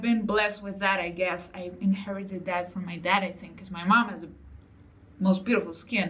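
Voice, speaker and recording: The voice is somewhat breathy. Room echo is audible. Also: woman. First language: not English. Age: 30s. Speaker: online business coach. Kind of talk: motivational vlog talk. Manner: casual, conversational.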